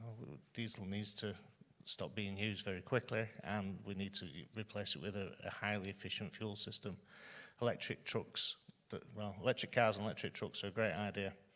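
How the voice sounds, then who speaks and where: Loud and fairly quick, a man speaks with a fairly low pitch, a bright, sharp tone and fairly even intonation. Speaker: further education college leader. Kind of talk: conference panel talk. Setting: stage with audience. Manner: halting, many fillers.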